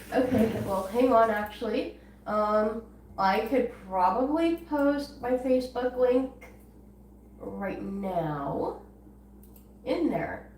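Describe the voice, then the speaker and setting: Amid noticeable background noise and audible room echo, a woman speaks very slowly at a fairly high pitch, with lively intonation and long, frequent pauses. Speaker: guinea pig channel owner. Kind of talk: live stream chat.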